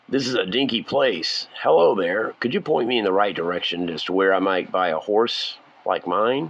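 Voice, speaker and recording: In a put-on, raspy character voice, a man talks at a moderate speed and a medium pitch. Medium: read story. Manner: blunt, commanding.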